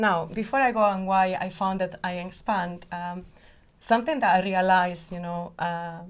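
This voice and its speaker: With a Spanish accent, a woman speaks in fairly even intonation, her loudness swinging widely, with audible room echo. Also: medium pitch for a woman, moderate pace. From Spain. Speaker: company founder and CEO. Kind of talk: podcast interview.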